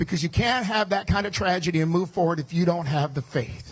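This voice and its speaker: The speaker talks loudly at a fairly quick pace with an American accent. Pitch variation is ordinary. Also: man. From US Midwest, Chicago. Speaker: politician. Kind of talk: campaign speech. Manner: fast.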